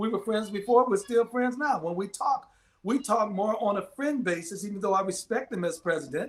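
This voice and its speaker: This man speaks at a fairly quick pace in a voice pitched high for a man. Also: ordinary pitch variation. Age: 60s. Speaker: pastor. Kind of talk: casual chat. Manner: halting.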